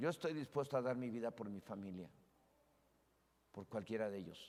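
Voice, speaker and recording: Here a man has a plain, everyday voice, pitched medium, with ordinary pitch variation. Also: moderate pace. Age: 60s. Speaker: pastor. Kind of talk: sermon.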